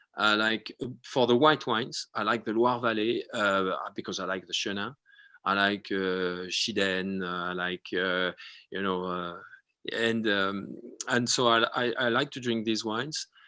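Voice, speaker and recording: Against a quiet background, a man with a French accent speaks at a fairly slow pace and fairly low pitch in a bright, sharp tone with ordinary pitch variation. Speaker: winemaker. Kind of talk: interview on a live video show. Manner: halting, many fillers and restarts.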